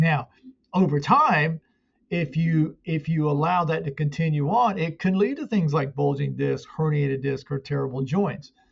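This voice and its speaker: Somewhat breathy male speech at a fairly high pitch. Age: 60s. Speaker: muscle pain therapist and coach. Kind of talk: interview.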